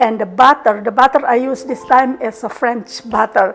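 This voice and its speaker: A woman's high-pitched voice with fairly even intonation at a moderate pace, with music in the background. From Indonesia. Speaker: home cook. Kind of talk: casual cooking video talk.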